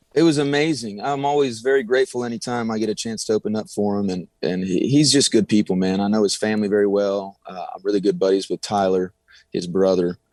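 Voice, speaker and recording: With a Texan accent, a man with a fairly low pitch and ordinary pitch variation talks at a very fast pace with hardly any pauses, in a dry, close sound with no echo on a very clean recording with a silent background. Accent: Texas country. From Texas, Del Rio. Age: young. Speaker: country singer. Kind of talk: radio interview.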